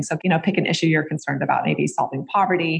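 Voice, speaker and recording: A woman speaks at a fairly low pitch with vocal fry. Her pitch varies in an ordinary way. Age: 40s. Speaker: psychology professor and nonprofit executive director. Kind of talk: interview.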